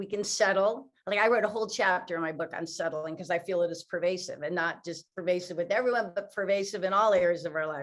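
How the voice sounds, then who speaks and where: A woman with a plain, everyday voice at a medium pitch and fairly quick pace, with ordinary pitch variation. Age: 60s. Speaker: author and motivational speaker. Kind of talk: interview.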